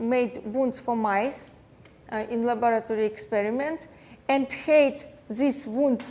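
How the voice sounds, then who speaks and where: A woman speaks with a Russian accent at a fairly high pitch. Her intonation stays fairly even. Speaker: plastic surgeon and dermatologist. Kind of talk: lecture. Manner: halting, many fillers.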